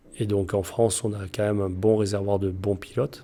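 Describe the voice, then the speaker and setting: A man's fairly low, dark and mellow voice, monotone and flat, at a moderate pace. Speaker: motocross coach and ultra-distance cyclist. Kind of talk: interview answer. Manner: precise wording.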